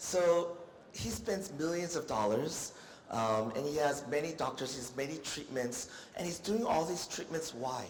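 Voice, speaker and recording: Over noticeable background noise, a man speaks at a moderate pace with lively intonation. Audible room echo surrounds his voice. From United States. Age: 50s. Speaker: doctor. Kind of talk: lecture. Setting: stage with audience.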